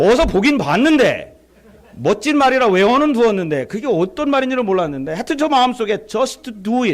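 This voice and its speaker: Pitch swings very widely in this voice with a Chungcheong accent at a moderate pace. Background noise is noticeable. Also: man, extremely high pitch for a man. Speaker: visiting pastor at revival meeting. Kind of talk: sermon. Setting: church. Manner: animated storytelling.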